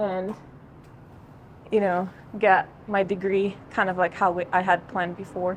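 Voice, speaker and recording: Slowish and with long, frequent pauses, a woman speaks in a monotone, flat intonation. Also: medium pitch for a woman. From Brazil. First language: Portuguese. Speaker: golf coach. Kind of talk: casual chat.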